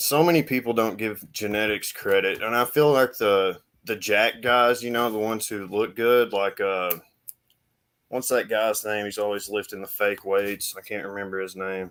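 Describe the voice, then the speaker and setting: A man with an American accent and an unremarkable speaking voice talks at a moderate pace in a fairly low pitch, his intonation fairly even. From United States. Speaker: fitness channel host. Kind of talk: casual interview chat.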